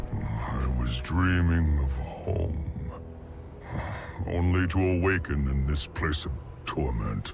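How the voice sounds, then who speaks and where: Using a cartoonish character voice, a man speaks at a very slow pace with long, frequent pauses over loud background noise. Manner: grave, earnest.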